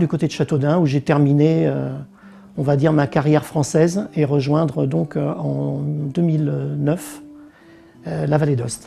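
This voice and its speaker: A man talks at a fairly slow pace, with noticeable background noise behind him. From Paris region, France. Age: 60s. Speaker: interviewee, former accountant. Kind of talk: interview testimony. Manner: hesitant, many fillers.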